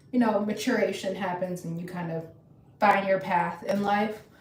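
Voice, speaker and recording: A woman with an American accent speaks in a medium pitch with monotone, flat intonation. Noticeable background noise and audible room echo fill the recording. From Virginia. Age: 20s. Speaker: ostomy lifestyle streamer. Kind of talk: casual chat.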